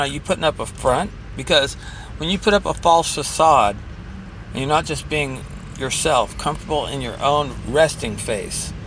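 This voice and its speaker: There is noticeable background noise. A man speaks over it at a moderate pace. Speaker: vlogger sharing anxiety advice. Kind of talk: casual self-help vlog. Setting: in a car, driving. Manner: hesitant, many fillers.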